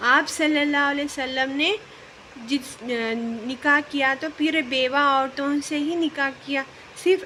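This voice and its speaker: Amid noticeable background noise, a woman projects a raised voice at a high pitch with fairly even intonation. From Hyderabad, India. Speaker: vlogger, mother. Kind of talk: religious talk to camera.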